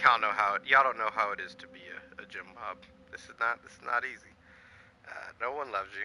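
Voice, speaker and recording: Shouting, a man speaks at a fairly quick pace. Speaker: gaming livestreamer. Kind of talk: casual livestream commentary. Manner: loud, yelling.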